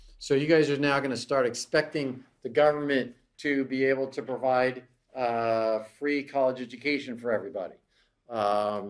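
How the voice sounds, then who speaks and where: Fairly even intonation from a man, at a moderate pace. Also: quiet background. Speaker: economics lecturer. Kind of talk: lecture. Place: classroom.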